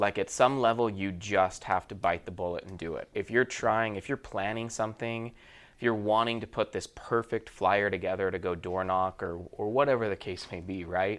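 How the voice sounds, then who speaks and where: A man with an American accent and a normal speaking voice talks at a fairly low pitch and a moderate pace, with hardly any pauses. His intonation is fairly even, on a very clean recording with a silent background. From Utah. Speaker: mortgage sales director. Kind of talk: casual interview.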